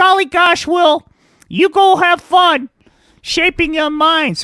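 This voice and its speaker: Extremely high in pitch, this is a cartoonish character voice. The delivery is fairly slow. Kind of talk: comic puppet voice. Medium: puppet show. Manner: wholesome, gee-whiz.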